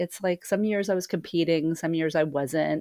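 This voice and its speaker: A woman with a plain, everyday voice speaks at a moderate pace with ordinary pitch variation, the sound dry and close with no echo on a very clean recording with a silent background. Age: 50s. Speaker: podcast host, sound healer. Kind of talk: solo podcast monologue. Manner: casual with frequent fillers.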